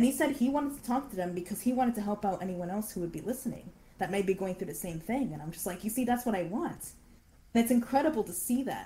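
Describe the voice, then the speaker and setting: Talking at a very fast pace, a woman with a fairly high pitch and lively intonation comes through noticeable background noise. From Canada. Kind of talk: interview.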